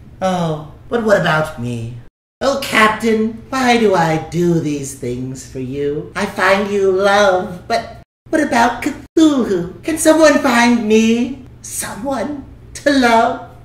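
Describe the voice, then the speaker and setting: In a cartoonish character voice, a female-sounding speaker at medium pitch for a woman talks at a very slow pace with very wide pitch swings and a slight echo. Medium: puppet. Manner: plaintive, self-pitying.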